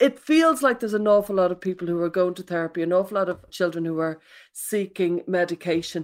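Speaking very fast in an Irish accent, a woman holds a medium pitch with ordinary pitch variation. The recording is very clean with a silent background. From Ireland. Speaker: parenting expert and author. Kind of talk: casual chat.

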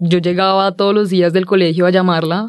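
A woman talks with fairly even intonation. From Colombia, Villavicencio. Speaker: podcast guest. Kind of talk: casual interview. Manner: halting.

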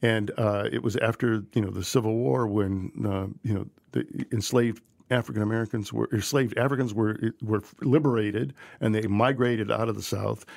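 Heard over a silent background in a very clean recording, a man with a plain, everyday voice talks at a fairly quick pace and a fairly low pitch with ordinary pitch variation. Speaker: barbecue historian. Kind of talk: casual chat.

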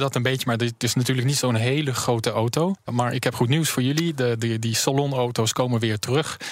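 Using an unremarkable speaking voice, a man talks at a fairly quick pace with fairly even intonation and very even loudness. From France, Paris. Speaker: car company director. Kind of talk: radio interview.

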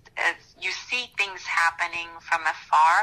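A woman talks with a Romanian accent and a fairly low pitch. Her tone is bright and sharp. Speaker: school board candidate. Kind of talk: interview. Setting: recorded conversation.

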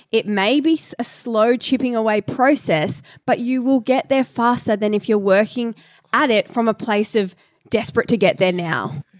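A woman speaks at a moderate pace in a fairly high voice, with lively intonation and very even loudness. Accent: Australian. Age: 20s. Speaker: podcast co-host. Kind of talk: casual chat.

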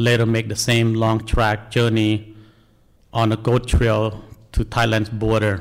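Speaking in a Cambodian accent, a man keeps a fairly slow pace, medium pitch, very even loudness and monotone, flat intonation. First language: Khmer. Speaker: National Guard soldier, refugee. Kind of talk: personal testimony.

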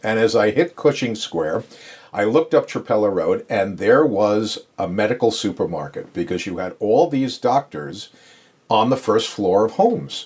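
With lively intonation and an American accent, an ordinary speaking voice proceeds at a moderate pace. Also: man, medium pitch for a man. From New York, Long Island. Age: 60s. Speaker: podiatrist. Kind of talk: casual interview. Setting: home office exam room.

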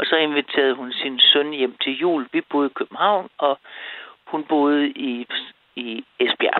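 Very slowly, a woman speaks in a very deep, low voice. Her pitch varies in an ordinary way. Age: 70s. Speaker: caller. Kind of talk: phone-in call.

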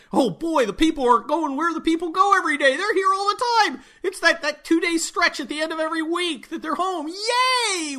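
In a put-on character voice with an extremely high pitch, the speaker rushes along at a fairly quick pace in an excited tone, with hardly any pauses. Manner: goofy, excited.

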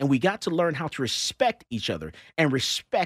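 Vocal fry marks this man's voice. The sound is dry and close with no echo, on a very clean recording with a silent background. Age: 50s. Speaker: radio talk show host and gun shop owner. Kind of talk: casual talk radio chat.

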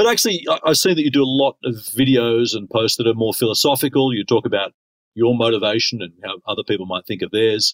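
Using an Australian accent, a man talks at a very fast pace with a medium pitch and ordinary pitch variation, in a dry, close sound with no echo. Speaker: podcast host, conductor. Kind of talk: interview.

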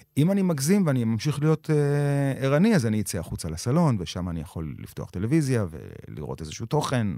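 Very wide pitch swings and a dark, mellow tone at a fairly quick pace. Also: man, medium pitch for a man, hardly any pauses. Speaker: actor and creator with insomnia. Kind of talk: personal testimony interview.

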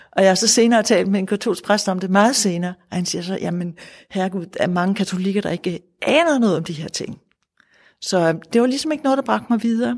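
A woman at a medium pitch speaks very fast with lively intonation, recorded very cleanly against a silent background. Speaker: Buddhist nun and centre leader. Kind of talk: interview. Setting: Buddhist centre.

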